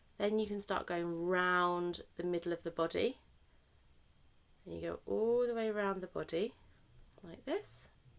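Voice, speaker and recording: A woman speaks with a British accent. Her speech has long, frequent pauses. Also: fairly slow pace. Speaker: therapeutic crafts facilitator. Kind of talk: tutorial.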